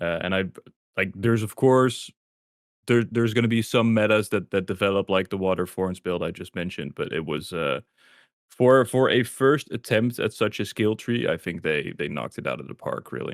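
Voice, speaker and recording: A man speaks at a fairly low pitch, the sound dry and close with no echo. The recording is very clean, with a silent background. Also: moderate pace. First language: not English. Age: 20s. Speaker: video content creator. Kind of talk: podcast interview. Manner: halting, many fillers and repeats.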